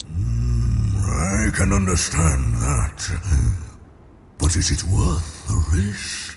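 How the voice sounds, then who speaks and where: A man speaks in a put-on character voice with a very deep, low pitch. He talks very slowly over clear background noise. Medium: video game. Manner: condescending, sly.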